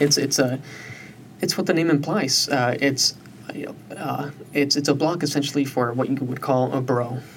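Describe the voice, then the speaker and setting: A man with an American accent talks at a moderate pace and a fairly high pitch, with fairly even intonation. He leaves long, frequent pauses, and noticeable background noise comes through. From US Southwest, South Tucson, Arizona. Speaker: recent college graduate. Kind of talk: interview conversation.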